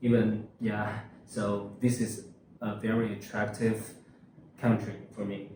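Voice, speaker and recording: Speaking very slowly with long, frequent pauses, a man has a fairly low, somewhat breathy voice of dark, mellow tone and monotone, flat intonation, with audible room echo. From China, Hunan Province. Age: 20s. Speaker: university student. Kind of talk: interview. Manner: halting, many fillers.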